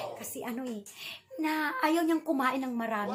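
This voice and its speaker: Noticeable noise in the background and pitch that varies an ordinary amount. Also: woman. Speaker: vlogger. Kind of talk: casual vlog. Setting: at home indoors. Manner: soft-spoken.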